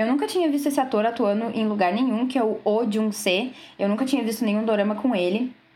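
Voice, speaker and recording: A woman speaks at a fairly high pitch. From southern Brazil, Rio Grande. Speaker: radio co-host, journalism student. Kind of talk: casual chat.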